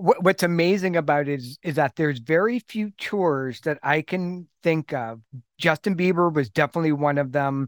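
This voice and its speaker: An unremarkable speaking voice from a man, fairly high in pitch, with ordinary pitch variation and a moderate pace, on a very clean, dry, close recording with no echo and a silent background. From Canada. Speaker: music industry expert. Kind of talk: casual chat.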